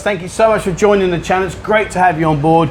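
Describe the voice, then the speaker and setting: A man's voice over noticeable background noise. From London. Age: 50s. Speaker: vlogger. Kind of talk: casual chat. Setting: bar.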